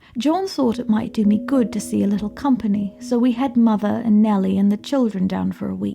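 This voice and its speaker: Noticeable background noise sits behind this woman's speech. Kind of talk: gothic horror story reading.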